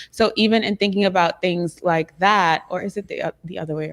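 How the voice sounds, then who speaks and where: Here a woman speaks with a Trinidadian accent at a medium pitch. Her pace is moderate, and the recording is very clean with a silent background. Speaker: youtube creator on a panel. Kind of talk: panel discussion.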